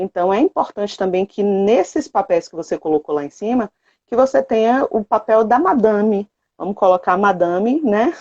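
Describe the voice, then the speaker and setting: A woman's ordinary speaking voice at medium pitch, with lively intonation, a moderate pace and a dry, close sound with no echo. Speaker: productivity coach and co-host of a live. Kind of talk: live stream talk. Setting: online live stream.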